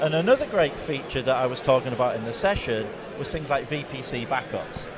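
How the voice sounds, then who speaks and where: A man with a fairly high voice talks at a fairly quick pace with ordinary pitch variation. Noticeable background noise and audible room echo surround him. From England. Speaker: tech company product specialist. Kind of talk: conference interview. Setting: conference show floor.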